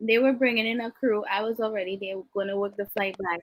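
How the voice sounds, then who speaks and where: With a Trinidadian accent, a woman speaks at a fairly high pitch in an animated tone. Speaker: flight attendant, podcast co-host. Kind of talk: casual chat.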